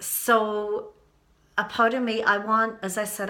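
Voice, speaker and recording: This woman's voice has a bright, sharp tone and a monotone, flat delivery. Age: 60s. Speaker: YouTube vlogger. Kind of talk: personal vlog monologue. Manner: halting.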